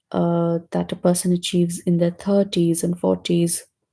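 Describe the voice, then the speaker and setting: A woman speaks at a fairly slow pace in a fairly low pitch, her dark, mellow tone somewhat breathy and her intonation monotone and flat. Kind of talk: casual book discussion.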